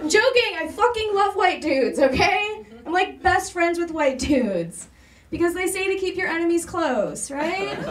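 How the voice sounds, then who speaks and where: A woman with an American accent and an extremely high pitch speaks at a moderate pace with lively intonation, amid audible room echo and noticeable background noise. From US Midwest. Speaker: comedian. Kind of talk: stand-up. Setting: stage with audience. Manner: animated.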